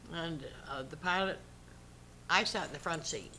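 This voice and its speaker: This woman's tone is bright and sharp, with vocal fry. Her pitch varies in an ordinary way. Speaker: WW2 women's air force service pilot veteran. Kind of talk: interview answer.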